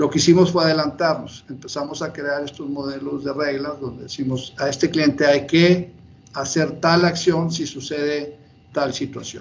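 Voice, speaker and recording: A man with a fairly high pitch speaks in a somewhat breathy, monotone voice with flat intonation. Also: moderate pace. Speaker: bank executive. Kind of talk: interview. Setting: video call.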